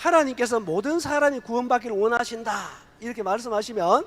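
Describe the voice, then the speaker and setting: Extremely high in pitch, a man speaks with lively intonation and a bright, sharp tone at a moderate pace. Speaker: preacher. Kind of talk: sermon. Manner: call-and-response, interactive.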